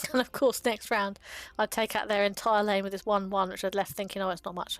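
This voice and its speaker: A woman talks at a very fast pace with a British accent. Her medium pitch stays monotone and flat. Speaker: gaming content creator. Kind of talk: casual commentary. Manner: hesitant, many fillers.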